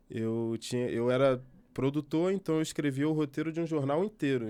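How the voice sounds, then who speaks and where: A man's voice with ordinary pitch variation comes through on a very clean recording with a silent background. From Brazil, Rio de Janeiro. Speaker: journalist. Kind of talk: interview. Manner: halting, self-correcting.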